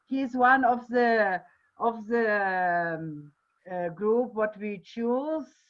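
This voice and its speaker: Talking at a very slow pace, a woman uses a fairly high pitch with ordinary pitch variation. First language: Portuguese. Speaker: festival director. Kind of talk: online panel discussion. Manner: halting.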